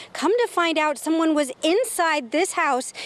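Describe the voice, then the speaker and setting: A woman speaks in an upbeat, energetic tone at a moderate pace. Noticeable background noise runs underneath. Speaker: TV news reporter and anchor. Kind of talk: TV news reporter delivery. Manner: upbeat, energetic live stand-up reporting.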